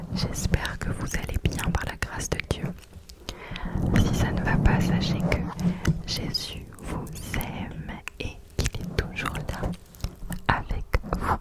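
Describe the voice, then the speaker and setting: A woman whispers in a gentle, calm tone at a very slow pace with long, frequent pauses. Noticeable background noise is present. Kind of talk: soft-spoken ASMR poetry reading with religious devotional content. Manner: soft-spoken, gentle, calm.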